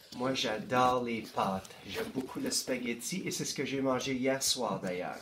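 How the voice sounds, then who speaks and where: Over noticeable background noise, a man with a medium pitch speaks at a fairly slow pace with hardly any pauses. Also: lively intonation. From northeastern Ontario. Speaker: school board education administrator. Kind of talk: interview.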